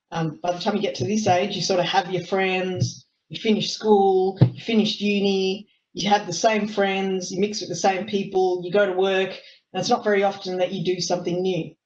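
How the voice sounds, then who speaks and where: A woman in an Australian accent speaks at a moderate pace with hardly any pauses and flat, monotone intonation. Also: medium pitch for a woman. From Australia, Melbourne. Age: 30s. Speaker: lawyer. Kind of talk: talk to youth sports team on webinar. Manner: hesitant, many fillers.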